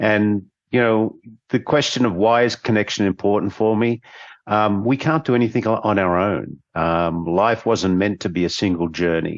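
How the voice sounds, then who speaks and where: With a quiet background, a man with an Australian accent talks at a fairly low pitch and a moderate pace, keeping ordinary pitch variation and very even loudness. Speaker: business consultant and former CEO. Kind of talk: panel discussion.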